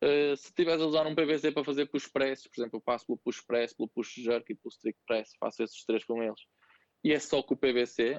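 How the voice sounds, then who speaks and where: A man with a normal speaking voice, fairly quick pace and ordinary pitch variation. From northern Portugal, Santo Tirso. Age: 30s. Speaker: CrossFit coach and gym owner. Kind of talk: casual interview.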